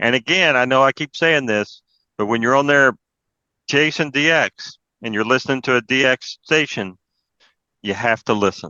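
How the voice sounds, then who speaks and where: With an Appalachian accent, a man talks at a moderate pace in a medium pitch, using ordinary pitch variation and long, frequent pauses. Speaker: amateur radio presenter. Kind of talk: presentation talk. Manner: casual, conversational.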